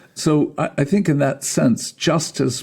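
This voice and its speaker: Lively intonation runs through a voice with a dark, mellow tone. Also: man. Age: 70s. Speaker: therapist and trauma instructor. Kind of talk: interview.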